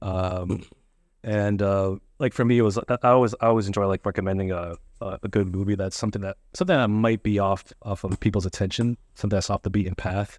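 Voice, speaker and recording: A man talks at a fairly quick pace with a fairly low pitch and fairly even intonation. The sound is dry and close with no echo, over a quiet background. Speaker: podcaster. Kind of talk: casual interview chat. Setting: in-person at a school.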